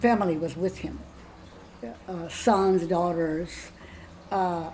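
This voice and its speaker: In a room with audible echo, a woman speaks very slowly and somewhat breathily at a fairly low pitch, with fairly even intonation and long, frequent pauses. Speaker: spiritual guide. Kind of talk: interview, personal storytelling. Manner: halting, many restarts and fillers.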